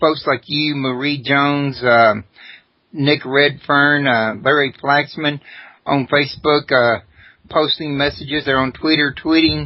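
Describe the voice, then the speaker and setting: A man with an ordinary speaking voice talks in a fairly high pitch with fairly even intonation. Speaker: radio host. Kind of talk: radio talk show.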